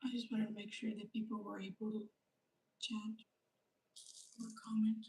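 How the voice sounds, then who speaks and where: A woman speaks in a fairly high pitch with a dark, mellow tone, somewhat breathy and with monotone, flat intonation, leaving long, frequent pauses. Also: moderate pace. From grew up outside Canada, near the ocean. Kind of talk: livestream tutorial. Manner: soft-spoken.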